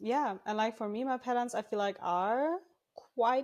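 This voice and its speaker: A woman speaks at a fairly quick pace. The recording is very clean, with a silent background. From Germany. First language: German. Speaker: crochet pattern designer. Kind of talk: podcast interview. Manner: frequent um filler.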